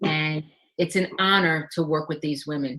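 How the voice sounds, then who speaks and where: A woman speaks with a New York accent. Her pitch is fairly low, with ordinary variation. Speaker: life and wellness coach. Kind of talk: interview.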